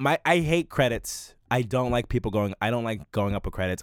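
A man with an American accent and a plain, everyday voice talks at a fairly quick pace and medium pitch, recorded very cleanly against a silent background with a dry, close sound and no echo. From US Mid-Atlantic, Prince George's County, Maryland. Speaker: comedian. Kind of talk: casual chat.

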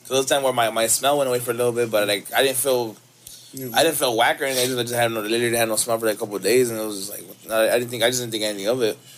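Noticeable background noise sits behind a man speaking at a very fast pace with an American accent. His pitch is medium and his intonation fairly even. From Los Angeles. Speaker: musician. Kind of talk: casual chat.

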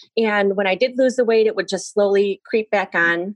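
This woman has an unremarkable speaking voice, medium in pitch, with ordinary pitch variation and a moderate pace. The sound is dry and close, with no echo. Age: 40s. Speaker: physical therapist. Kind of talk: casual interview.

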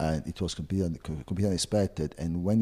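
A man speaks with an Italian accent. His tone is dark and mellow. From Italy, Florence. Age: 50s. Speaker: travel agency owner. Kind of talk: interview.

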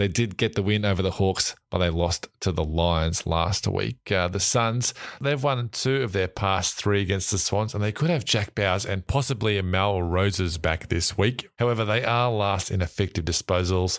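With an Australian accent, a man speaks at a moderate pace in a fairly low pitch, his loudness very even and his pitch varying in an ordinary way. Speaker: podcast host. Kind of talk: casual sports chat.

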